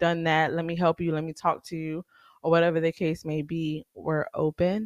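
The speech comes at a moderate pace with fairly even intonation, recorded with a dry, close sound, no echo and a quiet background. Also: woman. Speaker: podcast host. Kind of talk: casual monologue. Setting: home studio.

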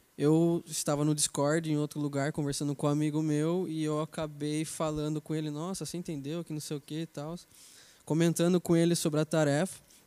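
Recorded very cleanly against a silent background, with a dry, close sound and no echo, a man talks at a fairly quick pace in a dark, mellow tone, his fairly high pitch held in a flat monotone. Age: 20s. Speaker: software developer. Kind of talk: casual chat.

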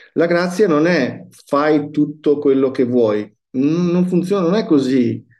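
A man's fairly high voice with a dark, mellow tone, a very slow pace, hardly any pauses, very even loudness and ordinary pitch variation. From Verona, northern Italy. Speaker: pastor. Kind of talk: casual interview.

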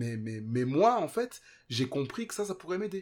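A man's voice with lively intonation at a moderate pace, on a very clean recording with a silent background. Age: 30s. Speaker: podcast listener sharing weight-loss story. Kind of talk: testimony. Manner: halting.

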